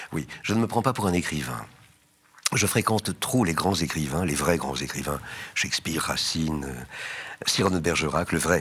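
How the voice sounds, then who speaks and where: A man with a very deep, low voice talks at a moderate pace with lively intonation. Noticeable noise sits behind him. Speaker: actor and theatre director. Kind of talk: interview answer. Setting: studio.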